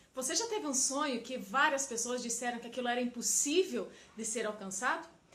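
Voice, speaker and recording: A woman's high voice with a Paraná accent and ordinary pitch variation at a fairly quick pace, with audible room echo and noticeable background noise. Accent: Paraná Brazilian Portuguese. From Paraná, southern Brazil. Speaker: emotional intelligence coach. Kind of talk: personal story to camera.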